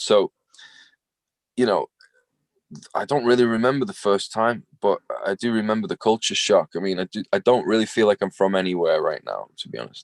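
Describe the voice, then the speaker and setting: Recorded dry and close with no echo, a man with an American accent speaks at a moderate pace with long, frequent pauses. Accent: English with some American touches. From England. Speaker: singer-songwriter and filmmaker. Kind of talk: interview.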